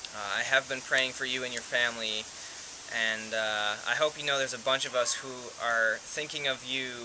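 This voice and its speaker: Noticeable background noise sits behind a man whose medium pitch follows a fairly even intonation. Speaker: vlogger with dysautonomia. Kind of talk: casual talk to camera. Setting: outdoors.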